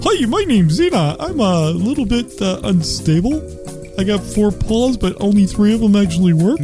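With clear music behind it, a female-sounding put-on character voice moves at a moderate pace at medium pitch. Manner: clumsy.

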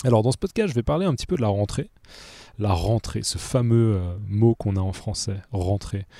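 A man with a dark, mellow tone speaks at a fairly low pitch, moving at a moderate pace with ordinary pitch variation. The recording is very clean, dry and close, with no echo and a silent background. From Switzerland, Geneva. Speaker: French teacher podcaster. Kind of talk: language lesson podcast. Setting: outdoors in a park. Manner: hesitant, many fillers.

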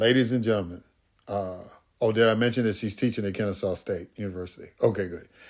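A man with an American accent talks at a very fast pace in a fairly low pitch, his intonation fairly even. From Chicago. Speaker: podcast host. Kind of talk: interview. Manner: casual, laughs often.

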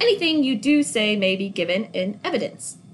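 A woman puts on a character voice in a British accent with very wide pitch swings. She talks at a fairly quick pace. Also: fairly high pitch for a woman. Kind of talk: formal, official.

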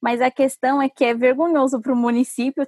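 Her pitch is high and varies in an ordinary way, and the woman's voice comes across dry and close with no echo. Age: 20s. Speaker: urban mobility specialist. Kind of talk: interview.

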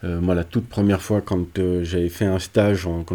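A man's very deep, low pitch with a dark, mellow tone. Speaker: psychologist. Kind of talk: interview.

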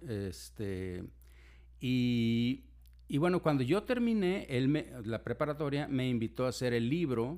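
A man talks with lively intonation. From Mexico, raised in Monterrey. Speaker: physician and medical teacher. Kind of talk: casual interview. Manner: halting, many fillers.

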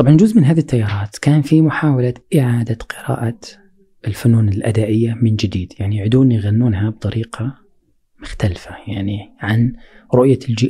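A plain, everyday voice from a man at medium pitch, at a moderate pace with ordinary pitch variation. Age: 40s. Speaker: poet and cultural researcher. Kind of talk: interview conversation.

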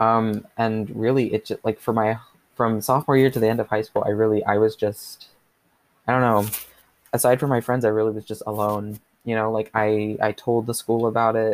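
A man with an American accent, medium pitch, and a flat monotone at a moderate pace, with a dry, close sound and no echo. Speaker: podcast host. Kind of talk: solo podcast monologue, personal story. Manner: casual, hesitant, filler words.

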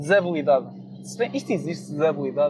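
A man with a European Portuguese accent speaks over noticeable background noise. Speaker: podcast host. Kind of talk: casual monologue.

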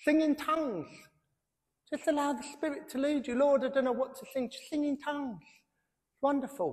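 An extremely high-pitched man with a British accent, at a moderate pace with long, frequent pauses. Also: ordinary pitch variation, big swings in loudness. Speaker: pastor. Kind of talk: sermon. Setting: church.

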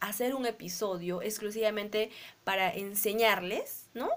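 Her pace is fairly slow. A woman talks here, with ordinary pitch variation. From Peru, Arequipa. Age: 30s. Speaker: podcast co-host. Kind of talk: casual chat.

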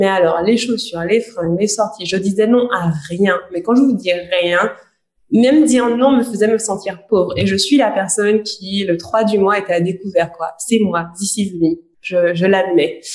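A woman has a normal speaking voice at a medium pitch with ordinary pitch variation. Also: fairly slow pace. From Guadeloupe. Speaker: podcast co-host, coach. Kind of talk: casual chat.

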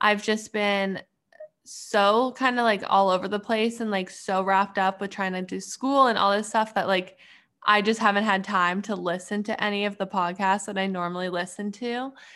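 Her tone is bright and sharp. The woman keeps her intonation fairly even. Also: medium pitch for a woman, moderate pace, very clean recording, silent background. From Canada. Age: 20s. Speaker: PhD student and clothing brand owner. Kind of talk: casual interview chat.

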